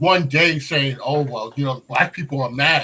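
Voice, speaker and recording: Bright and sharp in tone, a man's fairly high voice keeps a moderate pace with ordinary pitch variation. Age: 50s. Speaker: panelist on a talk show. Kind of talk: heated debate. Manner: animated.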